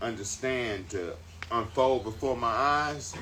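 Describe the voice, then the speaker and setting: Bright, sharp tone with audible room echo. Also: man. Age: 60s. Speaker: spiritual teacher. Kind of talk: casual chat.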